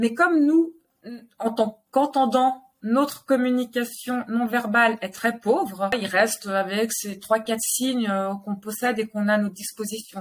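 Here is a normal speaking voice at a fairly slow pace, with ordinary pitch variation. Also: woman, fairly high pitch for a woman. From Geneva, Switzerland. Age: 30s. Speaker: sign language teacher and family centre owner. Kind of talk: interview.

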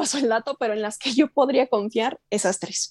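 A woman speaks at a moderate pace in a fairly high pitch with ordinary pitch variation, recorded dry and close with no echo. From Chihuahua, Mexico. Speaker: voice actress. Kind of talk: interview.

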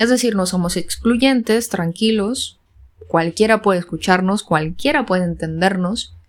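This woman has an unremarkable speaking voice with ordinary pitch variation. She talks at a fairly slow pace. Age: 20s. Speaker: podcast host. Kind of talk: solo podcast monologue.

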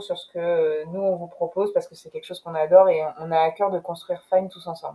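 Here a woman speaks at a fairly quick pace and medium pitch. Her tone is dark and mellow. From France, Rouen. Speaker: entrepreneur. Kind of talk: interview.

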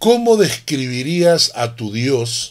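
His pitch leaps up and down a great deal. The man talks very slowly. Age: 60s. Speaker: pastor. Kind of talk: sermon.

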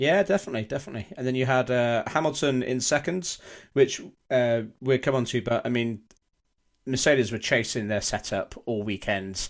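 A man's unremarkable speaking voice at medium pitch, ordinary pitch variation and a moderate pace, on a very clean recording with a silent background. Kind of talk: radio dj patter: upbeat show-opening welcomes, song dedications and sign-posted segments.

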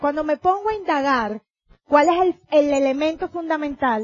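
In a Venezuelan accent, a woman speaks in an animated tone with high pitch and ordinary pitch variation. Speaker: motivational speaker, network marketing leader. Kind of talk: convention talk.

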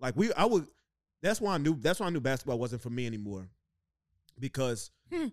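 Over a silent background in a very clean recording, a man talks fairly quickly with very wide pitch swings and long, frequent pauses. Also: medium pitch for a man. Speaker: podcast host. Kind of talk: casual banter podcast, crude humor. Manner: joking, irreverent, profane.

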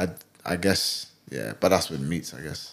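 A man speaks in a London accent. His pitch swings very widely. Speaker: podcast co-host. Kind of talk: casual chat. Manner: lazy, merged speech.

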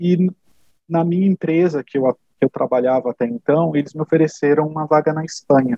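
Here is a man with a normal speaking voice and a fairly high pitch. He talks at a fairly quick pace. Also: ordinary pitch variation. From Brazil. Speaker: HR software consultant. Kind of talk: interview conversation.

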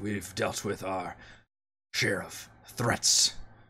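A man uses a raspy, put-on character voice at a fairly slow pace in a very clean recording with a silent background. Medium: actual play. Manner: terse, clipped sentences.

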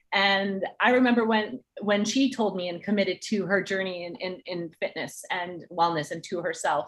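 With an American accent, a plain, everyday voice speaks at a moderate pace with ordinary pitch variation and hardly any pauses. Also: woman, medium pitch for a woman. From New Jersey. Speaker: entertainment partnerships executive and track athlete. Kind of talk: interview.

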